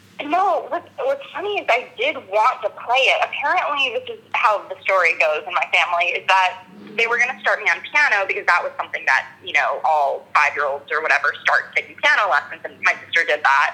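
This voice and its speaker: A woman's fairly quick speech with hardly any pauses, over noticeable background noise. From US West Coast, Los Angeles. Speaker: actor and violinist. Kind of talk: interview.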